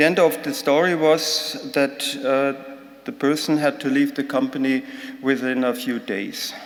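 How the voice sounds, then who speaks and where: With a German accent, a man speaks at a fairly slow pace with ordinary pitch variation, amid audible room echo and noticeable background noise. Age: 60s. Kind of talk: conference talk. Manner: halting.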